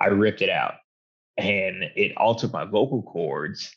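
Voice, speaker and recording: Speaking in a Southern US accent, a man uses a fairly low pitch. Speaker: hunter and motivational speaker. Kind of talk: casual chat.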